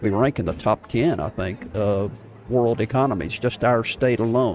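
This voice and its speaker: A man speaks with a South Texas accent. His pitch is medium, with ordinary variation. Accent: southern Texas drawl. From North Texas, Wichita Falls area. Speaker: live stream host, social media coach. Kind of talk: casual live stream talk. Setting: coffee shop live broadcast.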